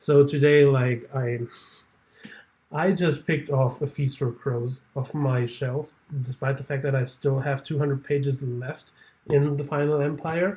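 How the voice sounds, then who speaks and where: With a non-native accent, a man speaks in a somewhat breathy, dark, mellow tone, fairly high in pitch and monotone, with flat intonation. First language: not English. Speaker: booktuber. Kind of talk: casual vlog talk. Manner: halting.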